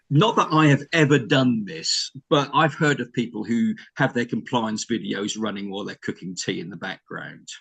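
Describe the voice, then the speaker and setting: Speaking with a British accent, the voice moves with lively intonation and big swings in loudness, hardly pausing at all. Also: man, medium pitch for a man. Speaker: learning and development strategist. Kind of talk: panel discussion. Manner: fast.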